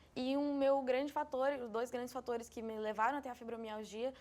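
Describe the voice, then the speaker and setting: A woman with a fairly high pitch and fairly even intonation has an unremarkable speaking voice. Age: 20s. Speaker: interviewee with fibromyalgia. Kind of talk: interview.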